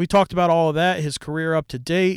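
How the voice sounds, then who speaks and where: Very fast male speech in a very clean recording with a silent background, dry and close with no echo. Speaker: podcast host. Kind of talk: casual interview chat.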